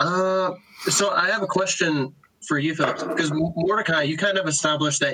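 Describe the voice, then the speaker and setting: A man speaks at a fairly high pitch and a moderate pace. He has a plain, everyday voice. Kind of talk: casual chat. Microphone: laptop mic in early episodes.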